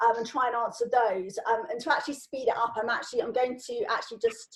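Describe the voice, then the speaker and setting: A woman's fairly high-pitched voice. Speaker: LinkedIn trainer. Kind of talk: informal online training Q&A. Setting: video call.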